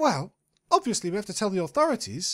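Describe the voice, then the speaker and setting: A put-on character voice races at a very fast pace, fairly high in pitch with very wide pitch swings. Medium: read story. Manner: prim, genteel.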